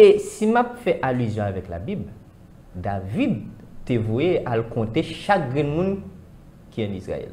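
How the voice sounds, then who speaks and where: A man speaks at a very slow pace. Long pauses come often. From Haiti. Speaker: spiritual commentator. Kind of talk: discussion. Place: studio. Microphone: lapel.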